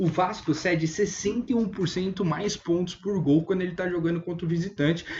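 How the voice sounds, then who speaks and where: Amid noticeable background noise, a man with a high voice talks at a fairly quick pace with fairly even intonation. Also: hardly any pauses. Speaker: fantasy football analyst. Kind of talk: online video analysis. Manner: fast.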